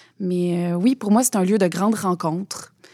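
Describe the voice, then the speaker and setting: At a fairly slow pace, a woman speaks in a dark, mellow, medium-pitched voice on a very clean recording with a silent background. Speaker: president of a theatre council. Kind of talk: interview.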